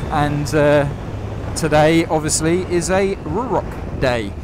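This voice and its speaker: A man's voice with ordinary pitch variation, a dry sound with no echo, and noticeable background noise. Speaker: motorcycle rider reviewer. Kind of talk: casual vlog chat. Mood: relaxed, upbeat. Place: motorbike. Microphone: helmet.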